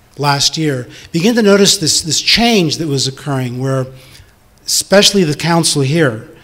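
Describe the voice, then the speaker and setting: A man with a normal speaking voice and fairly high pitch talks at a moderate pace with lively intonation. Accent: American. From Northern California. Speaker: city council candidate. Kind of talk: candidate debate statement. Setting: community hall with audience.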